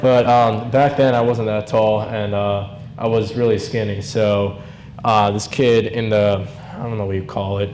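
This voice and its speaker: A man speaks in a fairly low voice at a moderate pace, his intonation fairly even. Room echo is audible, and there is noticeable background noise. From New Jersey. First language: Hungarian. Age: 20s. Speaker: grandson giving eulogy. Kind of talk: eulogy. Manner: halting, many fillers; unscripted.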